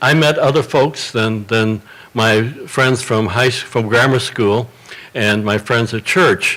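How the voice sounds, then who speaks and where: A man with an American accent speaks at a medium pitch and a fairly slow pace. His loudness stays very even despite noticeable background noise. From Chicago, South Side. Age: 70s. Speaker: panelist. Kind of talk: personal testimony on a panel.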